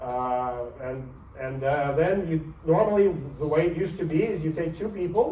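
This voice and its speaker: Audible room echo around a man's fairly high voice with ordinary pitch variation. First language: not English. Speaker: university professor. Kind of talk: lecture. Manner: animated.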